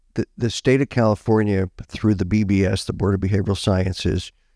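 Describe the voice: A man with a fairly low pitch and a dark, mellow tone speaks with fairly even intonation in a dry, close sound with no echo. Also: fairly quick pace.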